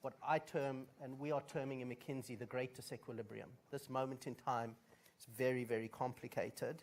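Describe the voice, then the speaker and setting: The speaker is a man with a fairly high-pitched voice. He talks at a moderate pace. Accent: South African. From South Africa. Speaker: management consultant, conference speaker. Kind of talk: conference speech.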